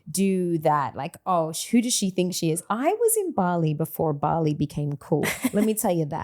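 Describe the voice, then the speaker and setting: A woman speaks with fairly low pitch and hardly any pauses. Noticeable background noise runs behind her. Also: ordinary pitch variation, moderate pace, dry, close sound with no echo. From Australia. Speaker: podcast host. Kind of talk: casual interview chat.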